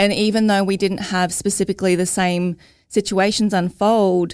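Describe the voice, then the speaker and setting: A woman with an Australian accent at a moderate pace, her intonation fairly even, on a very clean recording with a silent background. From Australia, Logan (Queensland). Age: 30s. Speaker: mental health advocate, mother. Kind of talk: interview, personal testimony.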